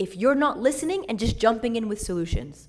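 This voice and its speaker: A woman speaks in a fairly high, somewhat breathy voice with an animated tone. Her intonation is lively, and room echo is audible. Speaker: church youth speaker. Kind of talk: talk to church servants.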